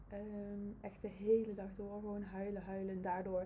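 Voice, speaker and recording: The voice is dark and mellow, somewhat breathy and monotone, moving at a fairly slow pace with audible room echo. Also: woman. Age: 30s. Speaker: family constellation practitioner. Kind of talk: casual interview. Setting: in the host's office.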